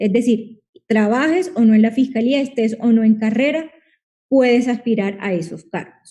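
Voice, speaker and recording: With a Colombian Caribbean accent, a woman speaks at a fairly slow pace in a high pitch, with a dark, mellow tone and lively intonation. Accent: Colombian Caribbean coastal Spanish. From Colombia, Caribbean coast. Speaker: lawyer and public-sector competition advisor. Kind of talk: online talk / Q&A webinar. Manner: animated.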